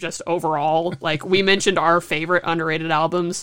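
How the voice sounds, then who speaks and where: Over a very clean recording with a silent background, a woman with a normal speaking voice talks at a moderate pace, fairly low in pitch with fairly even intonation. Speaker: podcast co-host, student. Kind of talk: casual chat. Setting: at home.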